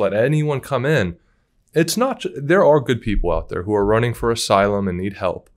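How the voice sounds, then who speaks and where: With lively intonation, the speaker moves at a moderate pace against a quiet background. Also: man. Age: 20s. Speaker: interviewer. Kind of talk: interview. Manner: enthusiastic. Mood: warm, admiring. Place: studio. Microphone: studio mic.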